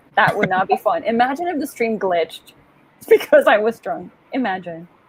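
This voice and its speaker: Noticeable background noise accompanies a woman with a fairly high pitch whose pitch swings very widely at a moderate pace. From Puerto Rico. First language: Spanish. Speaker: author and livestream host. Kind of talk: casual chat. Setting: livestream video call. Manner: animated.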